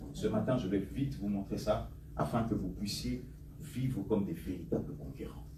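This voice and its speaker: A man at a fairly low pitch, very wide pitch swings, moderate pace, audible room echo. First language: English (speaking French). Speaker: pastor. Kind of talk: sermon. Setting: church with congregation. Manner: animated.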